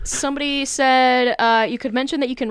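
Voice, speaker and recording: A woman talks at a fairly quick pace in a raised, projected voice with a high pitch. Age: 20s. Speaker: podcast co-host. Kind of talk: casual chat. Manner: halting.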